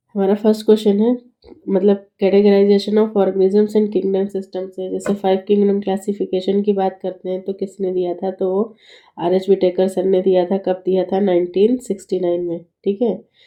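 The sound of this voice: Her medium-pitched voice has a dark, mellow tone and a flat, monotone intonation. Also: moderate pace.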